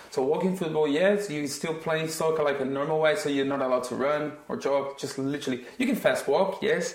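A man with a non-native accent speaks at a fairly quick pace in a fairly high voice. His tone is animated, and his pitch varies in an ordinary way. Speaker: football academy coach and podcast co-host. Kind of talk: casual chat.

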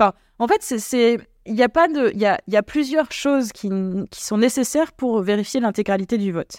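A fairly high-pitched woman at a fairly quick pace, ordinary pitch variation, in a dry, close sound with no echo and a very clean recording with a silent background. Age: 30s. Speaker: political party leader. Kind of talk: interview. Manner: halting, many fillers and repetitions.

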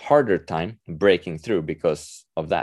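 A man with a Swedish accent and a fairly low voice is recorded dry and close, with no echo and a quiet background. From Sweden, Stockholm. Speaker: author. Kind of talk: interview. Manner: halting.

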